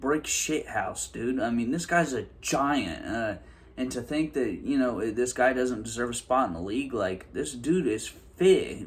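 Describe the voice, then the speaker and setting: Lively intonation runs through a man's speech, which moves at a moderate pace. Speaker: sports YouTuber. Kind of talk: opinion rant to camera. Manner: animated.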